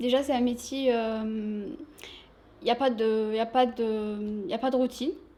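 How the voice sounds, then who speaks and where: A woman with a slight non-native accent speaks at a fairly slow pace in a fairly high pitch, her tone dark and mellow, with long, frequent pauses. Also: fairly even intonation. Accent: slight foreign. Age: 20s. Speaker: shop sales assistant. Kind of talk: interview.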